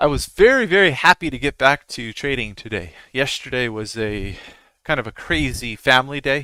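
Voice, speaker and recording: A man's medium-pitched voice, bright and sharp in tone, at a moderate pace with big swings in loudness, in a very clean recording with a silent background. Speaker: day trader streaming live analysis. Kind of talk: live trading commentary. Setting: live stream. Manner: casual, many filler words.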